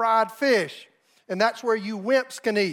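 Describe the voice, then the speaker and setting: A man's extremely high-pitched voice at a moderate pace, with fairly even intonation. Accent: Southern US. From US South, South Carolina. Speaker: pastor. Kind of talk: storytelling; sermon.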